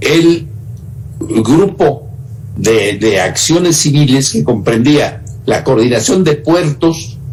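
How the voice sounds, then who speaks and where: A man at a very slow pace, fairly high in pitch, with lively intonation, audible room echo and noticeable background noise. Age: 80s+. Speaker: former government minister. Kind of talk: interview. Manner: halting.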